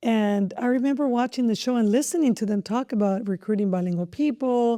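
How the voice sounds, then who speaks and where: A woman's dark, mellow voice at a fairly quick pace with ordinary pitch variation, dry and close with no echo, on a very clean recording with a silent background. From Mexico (Jalisco family), raised in southern California. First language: Spanish. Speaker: school district superintendent. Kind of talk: podcast interview.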